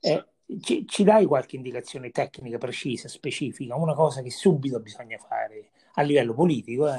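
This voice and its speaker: This man's voice has a medium pitch and a dark, mellow tone, somewhat breathy, with ordinary pitch variation. He talks at a fairly quick pace, and his loudness swings widely. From Viterbo area, central Italy. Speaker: podcast host. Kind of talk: casual interview.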